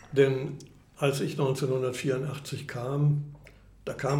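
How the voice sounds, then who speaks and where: A man talks at a medium pitch with monotone, flat intonation. Audible room echo fills the recording. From Germany. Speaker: retired chamber of commerce executive. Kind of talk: interview conversation. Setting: restaurant.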